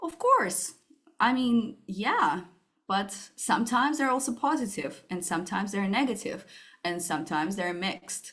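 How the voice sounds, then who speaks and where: With a Russian accent, a woman talks at a moderate pace. Her pitch swings very widely. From Russia, Moscow. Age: 30s. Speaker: startup founder. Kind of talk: interview.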